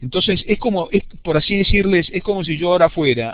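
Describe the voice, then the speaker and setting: A man speaks with an Argentine accent. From Argentina. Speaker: university lecturer. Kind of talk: lecture. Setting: video conference. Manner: fast.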